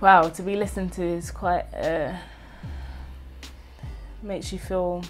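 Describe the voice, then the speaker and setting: The speaker moves at a moderate pace with long, frequent pauses while faint music plays in the background. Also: woman. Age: 20s. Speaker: spoken word poet. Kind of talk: interview answer. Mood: warm, reflective, animated. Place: home room.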